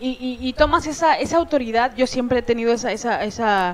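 A woman speaks in a high pitch at a moderate pace. Noticeable background noise runs behind her. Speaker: comedian. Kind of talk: casual chat. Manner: speaks with authority.

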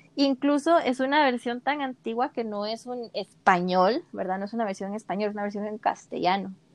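In a plain, everyday voice, a woman with a fairly high pitch speaks at a moderate pace with ordinary pitch variation, the sound dry and close with no echo over a quiet background. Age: 20s. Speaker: podcast co-host. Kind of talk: casual chat.

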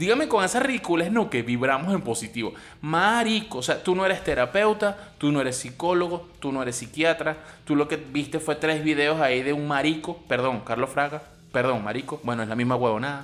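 Speaking fairly quickly in a Venezuelan accent, a man uses lively intonation at a fairly high pitch. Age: 40s. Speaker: podcaster. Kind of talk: comedic rant monologue. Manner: animated.

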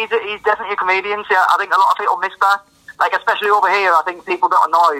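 A man speaks in a raised, projected voice at a very fast pace, his high pitch held to a fairly even intonation. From northern England. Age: 20s. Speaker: rapper and producer. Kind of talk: casual interview chat. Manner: casual, conversational.

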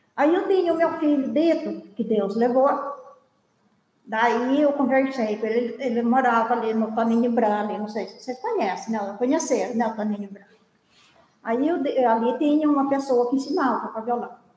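A woman with a high pitch speaks at a moderate pace with ordinary pitch variation, and audible room echo is present. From São Luiz do Paraitinga, São Paulo interior. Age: 70s. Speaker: viola folk musician. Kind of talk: life story interview.

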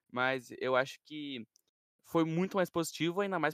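Heard in a dry, close sound with no echo, a man with a plain, everyday voice talks at a fairly quick pace with ordinary pitch variation. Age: young. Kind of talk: casual chat.

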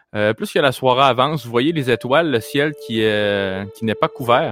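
A man with a Quebec accent speaks at a medium pitch and a fairly slow pace. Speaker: game master of a tabletop role-play podcast. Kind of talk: tabletop game narration. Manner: halting, with frequent fillers and repeats.

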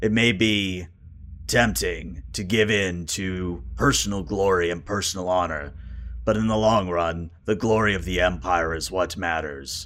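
Raspy and very deep, this man's voice sits very low. He is doing a put-on character voice. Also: moderate pace. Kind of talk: solemn fantasy roleplay. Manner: grave, formal, storytelling.

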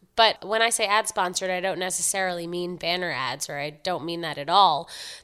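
A plain, everyday voice from a woman with an American accent, medium in pitch, with ordinary pitch variation and a moderate pace, on a very clean recording with a silent background. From New York City, Upper East Side Manhattan. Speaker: website founder and writer. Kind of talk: interview.

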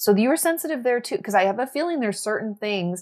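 Very fast and with very wide pitch swings, the speech comes in an American accent on a very clean recording with a silent background. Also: woman. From US Northwest, Washington State. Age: 30s. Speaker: therapist and mental health content creator. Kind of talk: casual chat.

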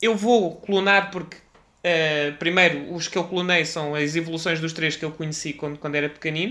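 A man speaks in a high voice. His tone is bright and sharp. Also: fairly even intonation, moderate pace. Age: 30s. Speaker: podcast host, guest on gaming podcast. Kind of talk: casual chat.

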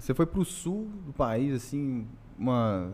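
A man is speaking. His intonation is lively. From Brasília, Brazil. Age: 30s. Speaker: podcast co-host. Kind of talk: casual chat.

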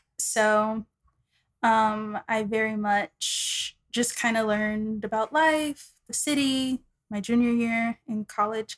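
With an American accent, a woman talks very slowly in a fairly high voice, and the sound is dry and close with no echo. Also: fairly even intonation. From Texas, Dallas. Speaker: insurance adjuster and singer. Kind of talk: casual interview.

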